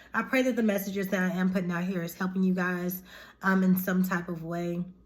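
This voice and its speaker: A woman speaks at a fairly quick pace with a medium pitch and a somewhat breathy voice. Her intonation is monotone and flat, and audible room echo surrounds her. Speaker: tarot reader and spiritual YouTuber. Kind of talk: casual spiritual vlog talk to viewers. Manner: informal, chatty.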